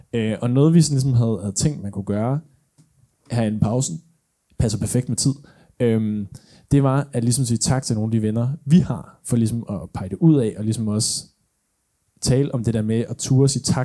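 At a fairly quick pace but with long, frequent pauses, the voice has a dark, mellow tone and ordinary pitch variation. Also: man, medium pitch for a man. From Denmark. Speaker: podcast host. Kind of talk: live podcast recording. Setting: stage with audience.

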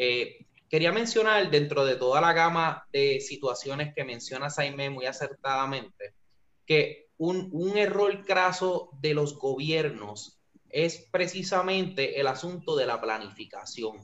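A man's fairly high voice at a very slow pace, with lively intonation. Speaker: senate candidate hosting a live stream. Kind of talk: political discussion on Facebook Live. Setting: Facebook Live.

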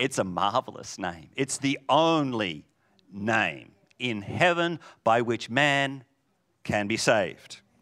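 Lively in intonation and animated in tone, a man speaks with a bright, sharp sound on a very clean recording with a silent background. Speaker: preacher. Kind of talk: sermon. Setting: church. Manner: loud.

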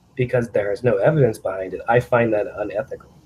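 A man's medium-pitched, somewhat breathy voice. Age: 30s. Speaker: chiropractor. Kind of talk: casual interview.

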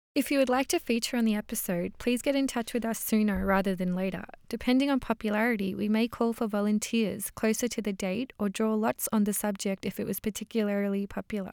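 This woman talks at a very fast pace with hardly any pauses, her pitch fairly high and her intonation fairly even. She has an Australian accent, and the sound is dry and close with no echo. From Melbourne, Australia. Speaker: recent master's graduate, podcast co-host. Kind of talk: casual introduction chat; scripted announcement.

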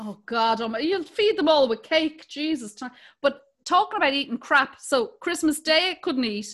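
On a very clean recording with a silent background, a woman with an Irish accent speaks at a moderate pace in a high voice with very wide pitch swings. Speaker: comedian and podcast co-host. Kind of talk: casual chat.

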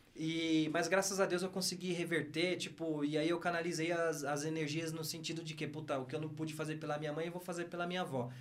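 Amid noticeable background noise and audible room echo, a man with a fairly high pitch talks fairly quickly in a monotone, flat way with hardly any pauses. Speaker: former footballer and business executive. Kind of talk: casual interview chat.

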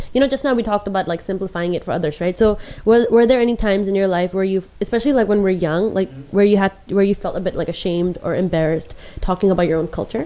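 A woman speaking very fast at a medium pitch, with ordinary pitch variation over noticeable background noise. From Hong Kong, Indian family. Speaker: podcast co-host. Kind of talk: casual chat. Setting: video recording.

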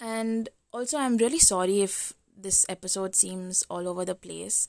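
Recorded very cleanly against a silent background, a woman talks in an unremarkable speaking voice with a dry, close sound and no echo. Her pitch is medium with ordinary variation, and her pace is fairly slow. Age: 20s. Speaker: podcast host. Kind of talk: casual solo monologue. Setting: recording at home at midnight.

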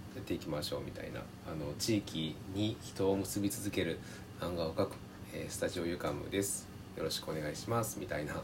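A man's very deep, low voice at a fairly quick pace, with ordinary pitch variation, noticeable background noise and audible room echo. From Japan, Tajima region of northern Hyogo. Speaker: podcast co-host, self-employed creator. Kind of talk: casual chat. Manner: hesitant, many fillers.

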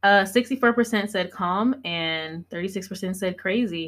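On a very clean recording with a silent background, a woman speaks at a medium pitch with ordinary pitch variation. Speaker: podcast co-host. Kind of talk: casual chat. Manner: fast; animated.

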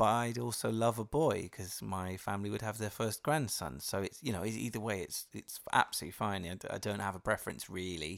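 A man speaks at a fairly quick pace with hardly any pauses, his fairly low voice showing vocal fry and lively intonation. The recording is very clean, with a silent background. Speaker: podcast host, expectant father. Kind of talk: casual chat.

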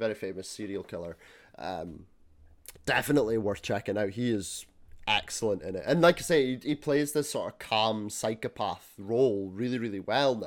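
A man at a medium pitch, lively intonation and a moderate pace, on a very clean recording with a silent background. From Scotland. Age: 20s. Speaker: podcast host. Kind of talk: casual chat.

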